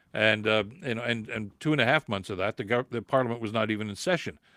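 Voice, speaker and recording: An ordinary speaking voice moves at a fairly quick pace with ordinary pitch variation. The recording is very clean with a silent background, and the sound is dry and close with no echo. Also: man. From Canada. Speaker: political podcast host. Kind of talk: livestream commentary reading viewer comments. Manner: frequent filler words and repetitions.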